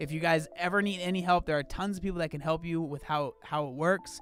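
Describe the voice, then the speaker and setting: This man has a high pitch, ordinary pitch variation and an American accent. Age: 20s. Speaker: fitness livestreamer. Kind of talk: casual livestream chat.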